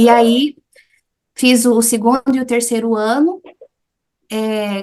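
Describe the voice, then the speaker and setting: A woman with an unremarkable speaking voice and fairly even intonation. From Brazil, Goiás (Anápolis), with childhood years in the US. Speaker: English teacher. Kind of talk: interview, personal life story.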